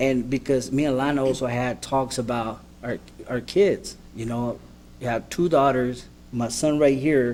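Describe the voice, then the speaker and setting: A man talks with a Spanish accent at medium pitch. His pace is fairly slow and his intonation fairly even. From New York, the Bronx. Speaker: former offender, panel interpreter. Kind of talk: testimony. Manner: halting.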